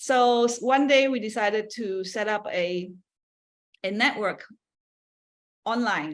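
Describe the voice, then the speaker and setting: A woman's fairly high voice with ordinary pitch variation, at a very slow pace broken by long, frequent pauses. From Malaysia, Kuala Lumpur. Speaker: seminar speaker, community organizer. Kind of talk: talk presentation. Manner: halting.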